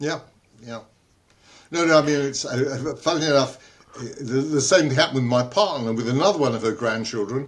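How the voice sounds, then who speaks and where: In a London accent, a man with a fairly high pitch and ordinary pitch variation speaks at a moderate pace, with long, frequent pauses. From London, England. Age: 80s+. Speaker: inventor, entrepreneur and author. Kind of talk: interview answer. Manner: humorous.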